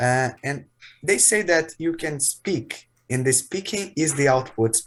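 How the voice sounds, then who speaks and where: Lively intonation marks this man's somewhat breathy voice. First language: not English. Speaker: English learner. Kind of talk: casual chat.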